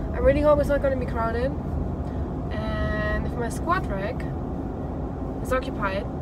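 A woman talks at a moderate pace. Loud background noise fills the recording. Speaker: vlogger. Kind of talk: casual vlog chat. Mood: relaxed, upbeat. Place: car. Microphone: phone near.

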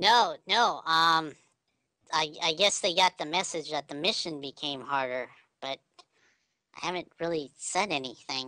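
Putting on a character voice, a woman speaks with a very deep, low pitch, lively intonation and long, frequent pauses, in a dry, close sound with no echo. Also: moderate pace. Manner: guarded, wary.

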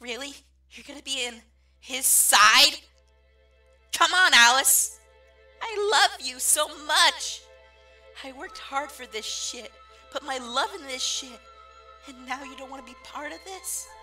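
A cartoonish character voice with a bright, sharp tone, ordinary pitch variation and a fairly slow pace over faint background music

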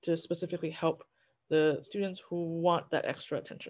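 At a moderate pace and over a quiet background, a woman talks with a fairly low pitch. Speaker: orchestra conductor; orchestra director on panel. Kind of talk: panel discussion. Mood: warm, enthusiastic. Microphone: video call.

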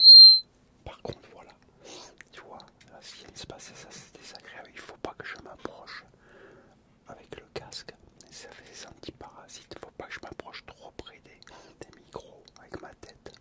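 Whispering in a calm tone, a man leaves long, frequent pauses while his loudness swings widely. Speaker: ASMR creator. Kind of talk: ASMR talk to camera, relaxing. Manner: soft, calm, slow. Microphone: studio mic.

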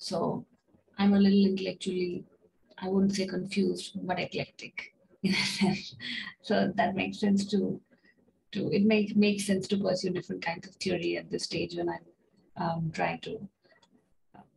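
A soft-spoken woman talks at a moderate pace with long, frequent pauses. Her loudness swings widely. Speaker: PhD student. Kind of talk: self-introduction in online workshop. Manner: halting. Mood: friendly, slightly self-deprecating. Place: home room. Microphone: video call.

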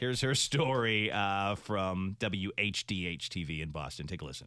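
Speaking at a moderate pace, a man with a fairly low pitch and a bright, sharp tone uses lively intonation, the sound dry with no echo over a quiet background. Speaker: radio show host. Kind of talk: casual talk show banter. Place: studio. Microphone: studio mic.

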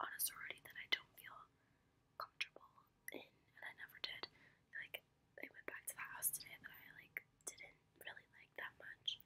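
Whispering at a fairly quick pace, a woman lets her loudness rise and fall in big swings. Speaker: college student vlogger. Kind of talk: casual vlog chat. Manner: soft close ASMR storytelling voice. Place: home room. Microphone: phone near.

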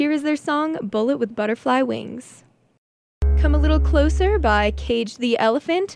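Over music in the background, a woman speaks at a moderate pace with very even loudness in a dry sound with no echo. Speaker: college radio DJ. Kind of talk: radio DJ chatting between songs. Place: studio.

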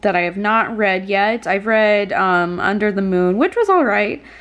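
A woman speaks with lively intonation. Her pitch is fairly high. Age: 20s. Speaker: booktube vlogger. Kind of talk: casual vlog. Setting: in her bedroom. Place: home room. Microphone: phone near.

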